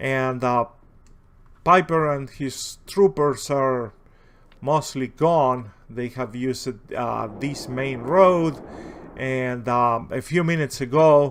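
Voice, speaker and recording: Speaking very slowly in a strong Spanish accent, a man keeps a medium pitch with ordinary pitch variation. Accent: heavy Spanish. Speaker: video game commentator. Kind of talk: gameplay commentary. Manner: halting, many fillers.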